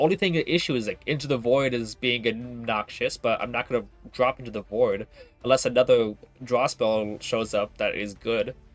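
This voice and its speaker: Over music in the background, a man talks at a moderate pace and medium pitch, with ordinary pitch variation. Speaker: video game streamer. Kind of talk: live gameplay stream commentary. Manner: casual, filler-heavy.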